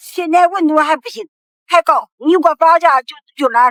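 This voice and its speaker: Speaking at a moderate pace, a high-pitched woman is heard in a dry, close recording with no echo. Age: 80s+. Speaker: rural grandmother. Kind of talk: casual family conversation.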